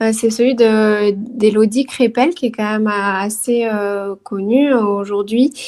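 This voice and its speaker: A woman's fairly high voice with a dark, mellow tone, in a southern French accent, at a very slow pace with fairly even intonation. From southern France, Toulouse. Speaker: career transition coach and yoga teacher. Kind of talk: interview. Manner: hesitant, many fillers.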